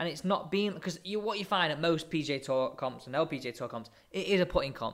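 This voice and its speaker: Speaking at a very fast pace, a man with an English accent uses a high pitch. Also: lively intonation. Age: 20s. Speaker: podcast host. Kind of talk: casual chat.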